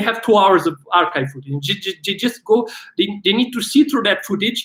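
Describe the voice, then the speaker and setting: A man with a Romanian accent speaks loudly at a high pitch. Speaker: filmmaker and actor. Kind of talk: live stream Q&A. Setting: livestream. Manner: animated.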